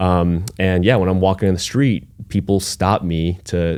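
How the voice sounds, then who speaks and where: With an American accent, a man speaks in a very deep, low voice with a dark, mellow tone. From China, then Germany and Long Island, New York. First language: Chinese. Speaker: startup founder. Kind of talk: podcast interview.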